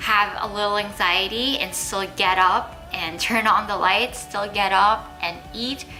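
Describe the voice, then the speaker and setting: Music plays in the background as a woman speaks at a fairly slow pace. Her intonation is fairly even. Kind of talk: casual talk to camera. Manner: sincere, earnest, open.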